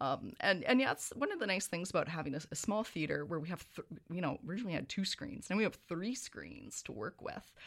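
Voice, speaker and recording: A woman with a Canadian accent speaks fairly quickly in a fairly low pitch, with vocal fry. Her pitch swings very widely. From Canadian West Coast (Victoria, BC). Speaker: cinema owner. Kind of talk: interview.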